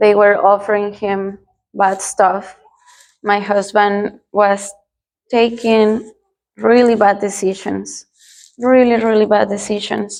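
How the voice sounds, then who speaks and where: Speech in a Spanish accent moves at a very slow pace with monotone, flat intonation. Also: woman. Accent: non-native English, Spanish-speaking. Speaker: churchgoer giving testimony. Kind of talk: testimony. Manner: halting, with fillers.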